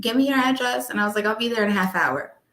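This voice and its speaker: A woman speaks very fast in a New York accent, her tone animated. Her fairly high voice shows ordinary pitch variation. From US Northeast, Long Island, New York. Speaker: notary and wedding officiant. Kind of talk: casual interview chat.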